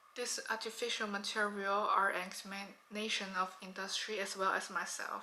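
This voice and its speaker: A woman speaks in a monotone with flat intonation and a Chinese accent. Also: medium pitch for a woman, moderate pace. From China. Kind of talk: pre-recorded artist statement.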